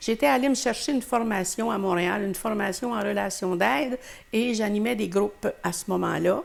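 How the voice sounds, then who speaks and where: Against noticeable background noise, a woman at a medium pitch speaks at a moderate pace with lively intonation. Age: 80s+. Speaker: retired teacher. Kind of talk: interview. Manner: halting.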